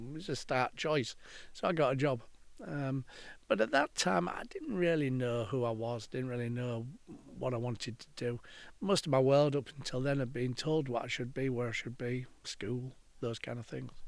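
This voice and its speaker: A man's medium-pitched voice at a moderate pace, ordinary pitch variation, in a very clean recording with a silent background. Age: 60s. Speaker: counselor and podcaster. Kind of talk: reflective monologue. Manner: casual, hesitant with fillers.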